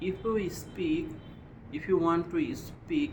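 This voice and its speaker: A man with a Bengali accent and ordinary pitch variation, in audible room echo. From Bangladesh. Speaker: English learner. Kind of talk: speaking practice monologue.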